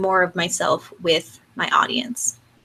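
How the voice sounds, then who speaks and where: In a bright, sharp tone, a woman speaks at a medium pitch and a fairly slow pace. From Mexico. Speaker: brand coach. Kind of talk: online workshop lecture. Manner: conversational; teacherly.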